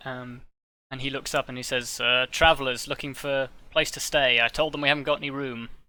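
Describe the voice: It is plain reading aloud with fairly even intonation against a quiet background.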